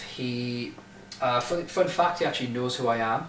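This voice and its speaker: A man speaks at a fairly high pitch with ordinary pitch variation. The recording has audible room echo and noticeable background noise. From northern England, Durham. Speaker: YouTuber. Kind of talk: casual monologue. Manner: casual, hesitant with fillers.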